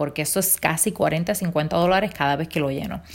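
In an ordinary speaking voice, a woman talks at a fairly low pitch with ordinary pitch variation. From Puerto Rico, Rincón. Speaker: podcaster. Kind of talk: casual monologue, personal anecdotes.

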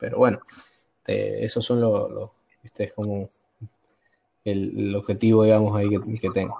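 A man talks at a moderate rate but breaks it with long pauses that come often. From Argentina, San Juan. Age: 20s. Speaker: student and worker. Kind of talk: casual chat. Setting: online call from work.

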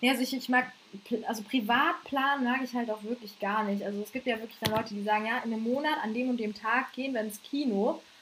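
A woman's high voice at a very fast pace, with ordinary pitch variation and noticeable background noise. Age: 20s. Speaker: podcast co-host and stand-up comedian. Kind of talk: casual chat.

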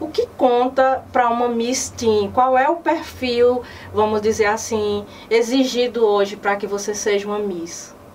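Over noticeable background noise, a woman with a fairly high pitch talks at a fairly slow pace. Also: ordinary pitch variation. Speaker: web news program host. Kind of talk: news magazine presenting and interview.

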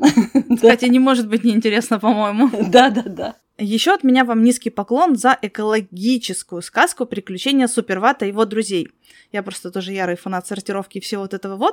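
In a very clean recording with a silent background and a dry, close sound with no echo, a woman with an ordinary speaking voice and a fairly high pitch talks at a fairly quick pace with ordinary pitch variation. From Crimea. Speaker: podcast host. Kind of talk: interview.

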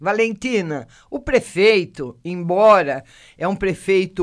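Speech moves at a very slow pace in a very clean recording with a silent background. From Brazil, São Carlos, São Paulo state. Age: 60s. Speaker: local news podcast host. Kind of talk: news reading with casual commentary. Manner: conversational, addresses listeners by name.

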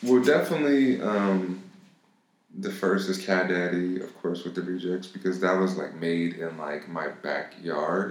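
Speaking at a fairly slow pace, a man uses a very deep, low pitch with ordinary pitch variation and an American accent. Audible room echo surrounds the recording. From Los Angeles, US. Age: 20s. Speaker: music producer. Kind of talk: casual chat. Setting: studio.

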